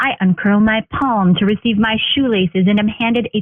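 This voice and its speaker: A woman speaks at a moderate pace in an unremarkable speaking voice. Her pitch is medium, with ordinary pitch variation. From Northern Ontario, Canada. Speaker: spoken word poet. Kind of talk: spoken word poetry performance.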